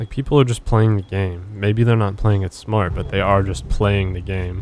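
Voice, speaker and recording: A man is speaking at a moderate pace. His pitch is fairly low. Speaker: gaming YouTuber. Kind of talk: gameplay commentary. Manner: monotone.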